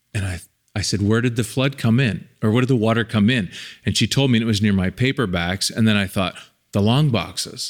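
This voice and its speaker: A man's normal speaking voice at medium pitch, fairly quick in pace, with ordinary pitch variation and very even loudness, in a very clean recording with a silent background. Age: 50s. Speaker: documentary filmmaker and podcast host. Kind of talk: casual chat.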